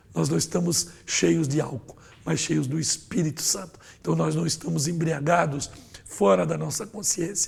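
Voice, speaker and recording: Vocal fry runs through a man's fairly high-pitched voice as his pitch swings very widely. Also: moderate pace. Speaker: pastor and Sunday school teacher. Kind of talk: Bible lesson lecture. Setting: studio.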